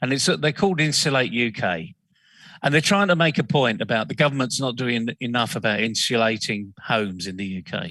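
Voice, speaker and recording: A man talks at a fairly quick pace in a medium pitch, his tone bright and sharp. His pitch swings very widely, and the background is quiet. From northern England, Leeds. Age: 60s. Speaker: business consultant, CEO. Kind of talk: interview discussion. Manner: passionate.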